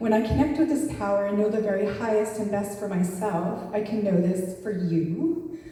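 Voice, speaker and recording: Audible room echo and noticeable background noise surround a woman speaking at a moderate pace in a medium pitch. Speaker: spiritual speaker. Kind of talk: sermon. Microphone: far from the mic.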